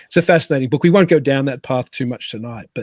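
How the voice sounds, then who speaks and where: In an Australian accent, a man speaks at medium pitch with lively intonation and a somewhat breathy voice, the sound dry and close with no echo. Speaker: podcast host. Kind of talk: guest introduction; casual chat. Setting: home studio in a cabin.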